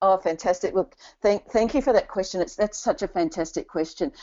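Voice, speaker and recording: With a New Zealand accent, a woman speaks at a very fast pace and medium pitch, her intonation lively. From New Zealand, Christchurch. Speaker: career coach. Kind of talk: webinar Q&A.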